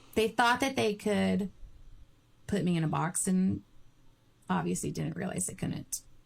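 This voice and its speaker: The woman's fairly slow speech is marked by long, frequent pauses. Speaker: podcast co-host. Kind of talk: casual chat. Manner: loud.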